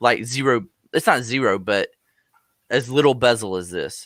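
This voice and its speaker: A man talks with ordinary pitch variation. The recording is very clean, with a silent background and a dry, close sound with no echo. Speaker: tech podcast host. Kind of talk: casual chat.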